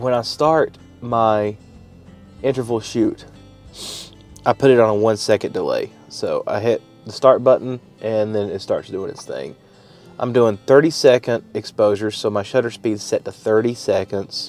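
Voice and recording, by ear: A man with an Appalachian accent speaks with long, frequent pauses while music plays in the background. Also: moderate pace.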